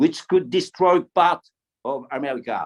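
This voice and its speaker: A man's voice with very wide pitch swings and a dry, close sound with no echo. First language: French. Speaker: retired military officer. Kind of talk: panel talk. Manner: halting, many repetitions; enthusiastic. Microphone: poor signal.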